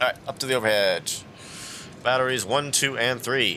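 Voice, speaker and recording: The tone is relaxed, with ordinary pitch variation. Noticeable background noise runs underneath. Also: man. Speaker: flight simulator streamer. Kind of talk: casual gameplay commentary. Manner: casual, relaxed.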